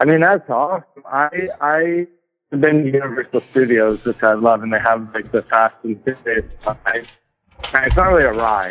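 In a plain, everyday voice, the speaker moves at a moderate pace with lively intonation, in a dry, close sound with no echo. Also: man, medium pitch for a man. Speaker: caller. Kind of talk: casual chat. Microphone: fan distorts voice, Darth Vader effect.

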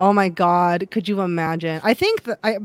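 A woman with a Midwestern US accent speaks at a medium pitch. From Ohio. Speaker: podcast host. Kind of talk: casual chat.

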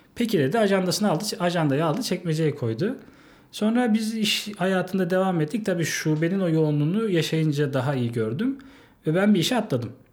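Moving at a fairly quick pace, a man's voice shows very wide pitch swings. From Turkey, Yalova. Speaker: bank sales manager. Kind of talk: interview. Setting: studio.

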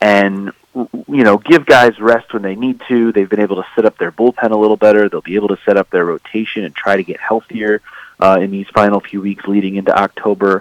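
Recorded with a dry, close sound and no echo, a man speaks in an ordinary speaking voice at a fairly low pitch, at a fairly quick pace with fairly even intonation. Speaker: baseball writer. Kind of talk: casual chat.

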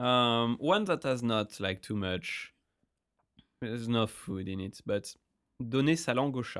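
A man speaks at a fairly slow pace with long, frequent pauses. His pitch is medium, with ordinary variation. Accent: French. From France. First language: French. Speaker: podcast host. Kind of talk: casual chat.

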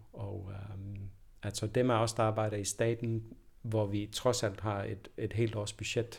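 The recording is very clean with a silent background. A man speaks very slowly in a somewhat breathy, fairly low voice with fairly even intonation. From Denmark. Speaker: professor of anthropology. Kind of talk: interview. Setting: university office. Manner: hesitant, many fillers and repetitions.

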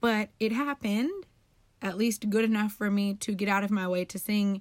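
At a moderate pace, a woman speaks in an animated tone at a medium pitch. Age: 20s. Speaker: podcast host. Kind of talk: casual monologue.

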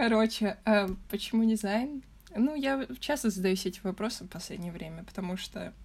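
Somewhat breathy, the speaker uses lively intonation and big swings in loudness at a moderate pace. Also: woman, fairly high pitch for a woman. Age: young (19). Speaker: design student. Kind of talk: casual chat.

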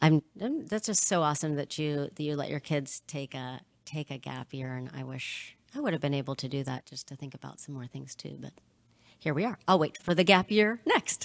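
Very deep and low for a woman, her voice moves at a moderate pace with ordinary pitch variation, in a dry, close sound with no echo. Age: 40s. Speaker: podcast host and counselor. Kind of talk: casual interview. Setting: video call.

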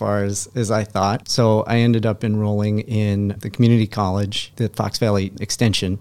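Moderate pace in an Upper Midwest accent, hardly any pauses, fairly even intonation, and a very clean recording with a silent background. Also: man. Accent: Upper Midwest American. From Wisconsin (Appleton area). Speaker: magazine co-founder. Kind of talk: interview conversation. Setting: studio.

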